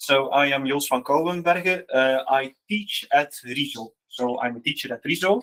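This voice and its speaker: A man with a non-native accent speaks at a moderate pace. His medium pitch shows ordinary variation. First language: Dutch. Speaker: teacher, innovation project facilitator. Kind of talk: conference presentation. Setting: event with live audience. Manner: hesitant, many fillers.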